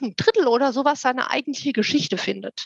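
A woman's high-pitched voice, dry and close-miked with no echo. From Germany, Frankfurt am Main. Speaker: fantasy author. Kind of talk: interview.

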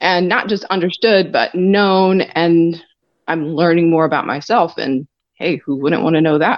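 A woman with a normal speaking voice talks at a fairly slow pace, her fairly low pitch showing ordinary variation and her loudness very even. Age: 40s. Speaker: podcast guest. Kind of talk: casual interview.

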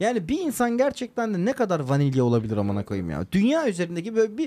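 In a very clean recording with a silent background, a high-pitched man talks at a very fast pace with very wide pitch swings. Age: 30s. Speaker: podcast co-host. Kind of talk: casual chat.

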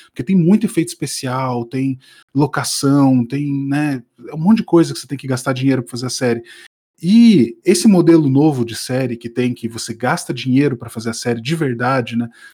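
Showing big swings in loudness, a man with a medium pitch and a dark, mellow tone talks at a moderate pace with ordinary pitch variation. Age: middle-aged. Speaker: podcast co-host. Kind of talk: casual chat.

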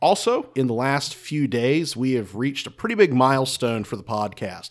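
A man with an American accent and a plain, everyday voice speaks at a moderate pace. His fairly high pitch carries lively intonation in a very clean recording with a silent background. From North Carolina. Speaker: battlefield guide and podcast co-host. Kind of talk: casual history discussion. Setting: recorded in a saloon.

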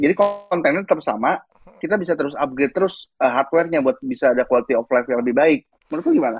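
A man at a fairly high pitch, with lively intonation, a very fast pace and very even loudness. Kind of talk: casual chat.

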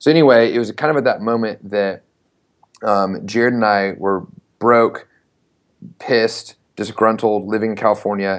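Using an ordinary speaking voice, a man speaks at a moderate pace with fairly low pitch and fairly even intonation. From US South, Knoxville, Tennessee. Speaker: startup founder and CEO. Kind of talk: interview.

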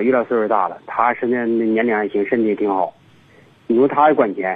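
The pace is fairly quick. A man talks at medium pitch with ordinary pitch variation. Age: 50s. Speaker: caller with a relationship problem. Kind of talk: phone-in call. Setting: phone call. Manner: halting, many fillers.

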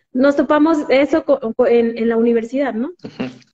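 The speaker is a woman with a high pitch. She talks at a fairly slow pace. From Mexico, Jalisco. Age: 20s. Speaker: physiotherapist. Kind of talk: interview.

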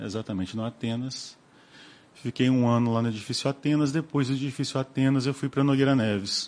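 With a normal speaking voice, a man of medium pitch talks at a fairly quick pace with fairly even intonation. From Rio de Janeiro and Cataguases, Minas Gerais. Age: 40s. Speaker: business owner. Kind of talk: interview.

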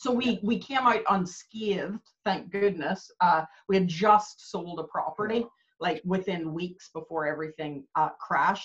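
A somewhat breathy woman with a Canadian accent and a medium pitch speaks at a moderate pace, her pitch varying in an ordinary way. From Canada. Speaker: business coach. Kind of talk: casual interview chat.

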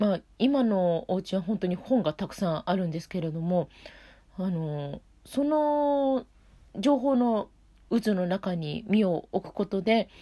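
A dark, mellow tone carries the speech at a fairly slow pace. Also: woman, medium pitch for a woman, lively intonation. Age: 40s. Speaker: opera singer hosting a web radio show. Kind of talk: solo casual monologue. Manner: relaxed, with many fillers.

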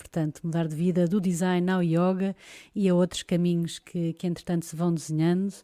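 A woman's fairly low voice with a dark, mellow tone, at a fairly quick pace in a very clean recording with a silent background. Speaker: podcast host. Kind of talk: casual chat.

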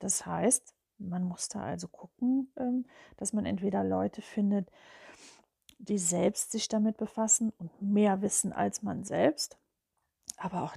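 The recording of this woman has a dry, close sound with no echo, and she talks at a fairly slow pace. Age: 50s. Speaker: spiritual podcaster. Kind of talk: personal monologue. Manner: hesitant, with filler sounds.

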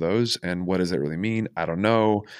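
The voice carries a Californian accent. Its pitch variation is ordinary. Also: man. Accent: Californian American. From Los Angeles, US. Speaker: podcast host and coach. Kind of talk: casual interview chat; scripted introduction.

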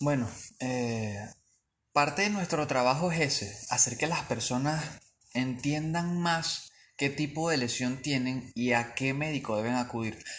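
At a fairly slow pace and with ordinary pitch variation, the voice carries audible room echo. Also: man, medium pitch for a man. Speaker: physiotherapist. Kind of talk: interview.

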